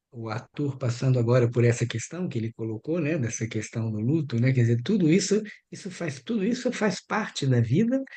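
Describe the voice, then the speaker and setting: A man with a Brazilian accent, lively intonation and a dark, mellow, somewhat breathy tone, hardly any pauses, against a quiet background. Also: medium pitch for a man, moderate pace. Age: 60s. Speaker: anthroposophic doctor and biographical counselor. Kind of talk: group workshop discussion.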